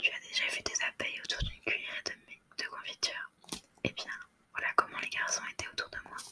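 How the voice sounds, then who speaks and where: A woman whispers, leaving long, frequent pauses. Noticeable background noise sits behind her. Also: fairly quick pace. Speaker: ASMR content creator. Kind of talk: whispered ASMR story reading for sleep. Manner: whispered, soft.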